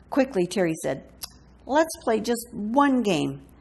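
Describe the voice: Plain reading aloud carried by lively intonation.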